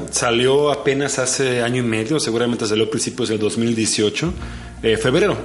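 The speaker talks at a moderate pace with fairly even intonation, with audible room echo and noticeable background noise. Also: man. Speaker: podcast host. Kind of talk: casual chat.

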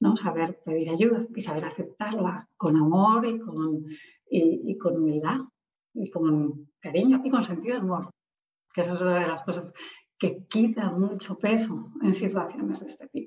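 Lively intonation marks this woman's medium-pitched, somewhat breathy voice. She talks at a fairly slow pace. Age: 40s. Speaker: author and civil servant. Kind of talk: interview.

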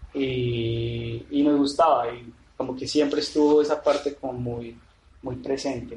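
A man with a medium pitch talks at a fairly slow pace in a monotone, flat intonation. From Medellín, Colombia. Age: 30s. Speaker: painter and sculptor, former architect. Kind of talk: interview. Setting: artist's studio.

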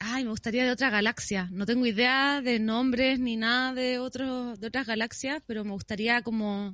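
With hardly any pauses, a woman with a high, bright, sharp voice keeps a moderate pace and fairly even intonation against a quiet background. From Chile, Viña del Mar. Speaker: singer-songwriter. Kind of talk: casual chat.

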